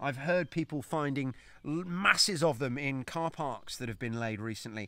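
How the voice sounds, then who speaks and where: At a fairly slow pace, a man speaks with ordinary pitch variation in a dry sound with no echo over a quiet background. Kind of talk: tutorial. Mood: excited, delighted. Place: garden. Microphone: phone near.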